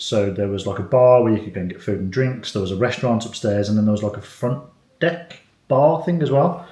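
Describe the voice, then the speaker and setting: A man's voice at a medium pitch, with an English accent, ordinary pitch variation and audible room echo. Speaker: family vlogger. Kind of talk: casual chat. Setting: hotel room. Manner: soft-spoken.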